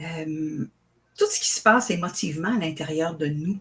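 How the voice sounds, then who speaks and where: Her intonation is lively. The woman speaks very slowly. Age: 60s. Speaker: author and spiritual teacher. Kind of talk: interview. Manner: hesitant, with fillers.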